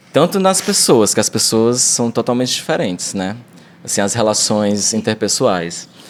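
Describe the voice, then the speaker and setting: A man's medium-pitched voice at a moderate pace with lively intonation. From Brazil, Ceará (Fortaleza area). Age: 20s. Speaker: actor and vocal expression teacher. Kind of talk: casual interview chat.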